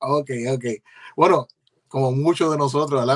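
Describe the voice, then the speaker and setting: Speaking with a Puerto Rican accent, this man has a medium pitch and fairly even intonation. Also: dry, close sound with no echo, quiet background. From Puerto Rico (Ceiba). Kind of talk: interview.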